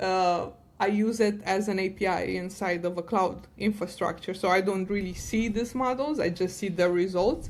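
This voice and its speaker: A woman's medium-pitched voice with a non-native accent. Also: moderate pace. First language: not English. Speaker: data science director and podcast co-host. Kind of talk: podcast interview. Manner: animated.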